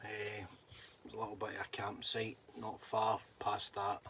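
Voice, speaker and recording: With a Scottish accent, a man speaks in a fairly low voice. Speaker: livestreamer. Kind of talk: casual livestream chat.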